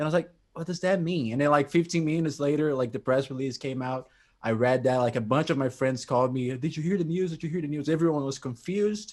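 A man with a fairly high voice talks very fast, his pitch varying in an ordinary way. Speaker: prog rock music commentator. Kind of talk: casual chat.

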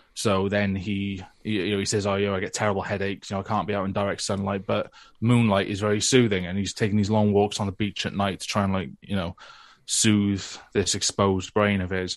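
In a British accent, a man rushes at a very fast pace with a fairly low pitch and monotone, flat intonation over a quiet background. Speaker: comic creator and podcaster. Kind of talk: casual chat.

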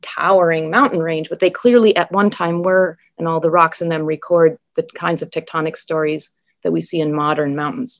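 A woman with an American accent and a normal speaking voice talks at a fairly quick pace in a fairly low pitch. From Wisconsin and Minnesota, US Upper Midwest. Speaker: geology professor. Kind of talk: interview.

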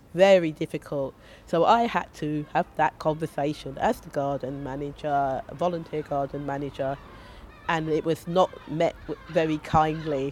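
A woman in a South London accent, very deep and low in pitch, with fairly even intonation at a moderate pace. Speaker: community gardener. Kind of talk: casual interview chat. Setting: outdoors in a community garden, shared microphone.

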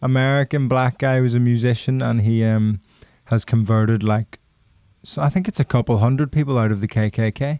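A man speaks at a moderate pace with a dark, mellow tone and ordinary pitch variation. The sound is dry and close with no echo, and his loudness stays very even. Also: medium pitch for a man. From Ireland. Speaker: comedian and producer. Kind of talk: casual chat. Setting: studio.

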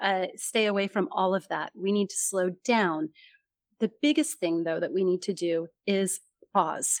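A woman with a General American accent, medium pitch and ordinary pitch variation, enthusiastic in tone, at a fairly slow pace, in a very clean recording with a silent background and a dry, close sound with no echo. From California. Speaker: communication coach and author. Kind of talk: interview.

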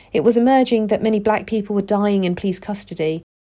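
In a very clean recording with a silent background, a woman with a dark, mellow tone speaks at a medium pitch and a fairly quick pace, with ordinary pitch variation. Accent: British. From UK, Pakistani heritage. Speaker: podcast host, case management psychologist. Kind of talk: solo podcast monologue.

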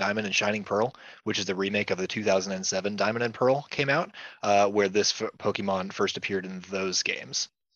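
A man with a plain, everyday voice talks at a moderate pace, his fairly low pitch showing ordinary variation. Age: 20s. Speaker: comic store manager. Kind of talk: casual chat.

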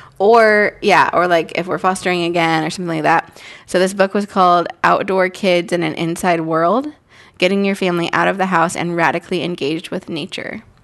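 A woman's normal speaking voice at a fairly low pitch and fairly quick pace, with fairly even intonation. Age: 30s. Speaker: podcast co-host. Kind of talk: casual chat.

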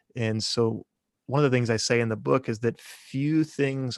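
A man with an American accent has an unremarkable speaking voice at medium pitch and fairly even intonation. The sound is dry and close with no echo, over a quiet background. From Kansas, US Midwest. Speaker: theology professor. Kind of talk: casual interview.

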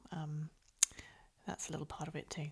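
This woman has a northern English accent and a very deep, low pitch. Her tone is dark and mellow, somewhat breathy, and her pace is fairly quick. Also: very clean recording, silent background. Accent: northern English, flat vowels. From northern England. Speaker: book podcast host. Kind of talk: casual chat.

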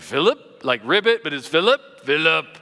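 A man puts on a croaky character voice, fairly high in pitch. He talks at a moderate pace.

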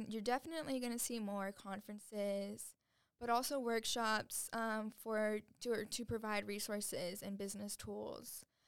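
A woman speaks in an ordinary speaking voice, fairly high in pitch, at a fairly slow pace with fairly even intonation. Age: 20s. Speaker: business founder and CEO. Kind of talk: casual chat.

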